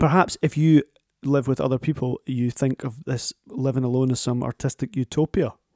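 A man with a Scottish accent speaks at a medium pitch and a moderate pace, his tone dark and mellow and his intonation fairly even, in a dry, close sound with no echo. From Scotland. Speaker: podcast host. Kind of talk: casual interview chat. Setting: remote recording, home.

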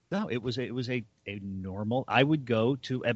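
A man with an American accent has an unremarkable speaking voice, a medium pitch and ordinary pitch variation. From US North, suburbs. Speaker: podcast co-host. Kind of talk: casual chat.

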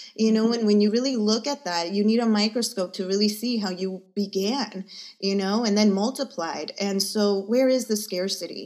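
A woman talks at a medium pitch and moderate pace in an ordinary speaking voice. Her intonation is fairly even, on a very clean recording with a silent background. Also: hardly any pauses. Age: 40s. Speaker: energy healer. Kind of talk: casual interview chat.

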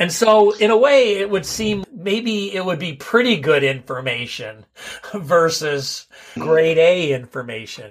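The speaker goes at a fairly slow pace with very wide pitch swings. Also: man, high pitch for a man. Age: 60s. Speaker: podcast host. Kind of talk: interview, opening with a rant.

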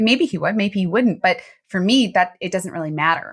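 A woman with an American accent speaks in a plain, everyday voice at a medium pitch and fairly quick pace. Her pitch varies in an ordinary way on a very clean recording with a silent background. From US East Coast, Baltimore. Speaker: transformational coach. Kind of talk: interview, personal testimony.

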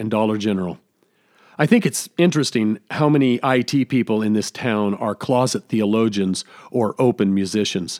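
An unremarkable speaking voice from a man, medium in pitch and moderate in pace, on a very clean recording with a silent background. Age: 50s. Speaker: podcast host and pastor. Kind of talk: solo scripted podcast monologue.

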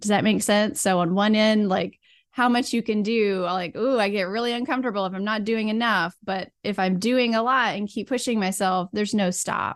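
A woman with a normal speaking voice talks at a fairly high pitch and a moderate pace, with fairly even intonation. She leaves hardly any pauses, and the background is quiet. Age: 40s. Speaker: burnout recovery and women's health coach. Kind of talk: casual interview chat.

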